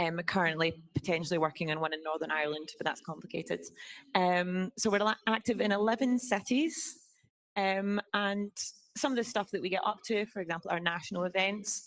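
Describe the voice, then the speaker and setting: In a Scottish accent, a woman speaks at a medium pitch with lively intonation. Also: very clean recording, silent background. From Scotland. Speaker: student organization officer. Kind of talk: presentation to assembly. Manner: hesitant, many fillers.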